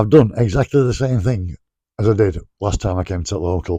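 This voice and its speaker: A man talks at a fairly quick pace with a Sheffield accent. His fairly low voice is somewhat breathy. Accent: Yorkshire (Sheffield). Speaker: pub crawl vlogger. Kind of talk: casual vlog talk to camera. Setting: in a pub. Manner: fast.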